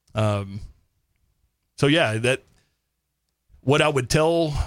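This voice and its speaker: On a very clean recording with a silent background, a man talks in a Texan accent. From North Texas. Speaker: army veteran. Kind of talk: casual interview.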